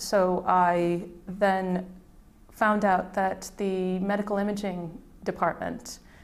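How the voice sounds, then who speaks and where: A woman with an American accent, with audible room echo. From USA, Midwest. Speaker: IP and innovation consultant. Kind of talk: career interview testimony. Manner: hesitant, with fillers.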